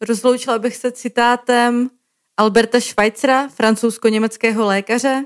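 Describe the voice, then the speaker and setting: A woman speaks at a moderate pace in a fairly high voice with monotone, flat intonation. The sound is dry and close, with no echo. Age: 30s. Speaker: podcast host, co-founder of a healthcare communication portal. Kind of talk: scripted podcast narration.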